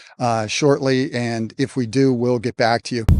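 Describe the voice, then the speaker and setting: A man's ordinary speaking voice at a medium pitch and moderate pace, with fairly even intonation, a dry, close sound with no echo, and a quiet background. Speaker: news anchor and reporter. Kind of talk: live TV news field report. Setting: outdoors.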